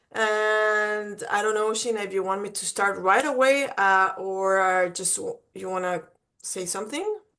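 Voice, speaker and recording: A woman with a Mexican accent talks at a fairly slow pace in a bright, sharp tone and a medium pitch. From Mexico. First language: Spanish. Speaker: college admissions representative. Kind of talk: webinar presentation. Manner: animated.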